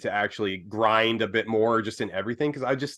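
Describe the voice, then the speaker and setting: Fairly even intonation marks a man's medium-pitched speech. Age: 30s. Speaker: podcast host. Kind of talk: casual chat. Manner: halting.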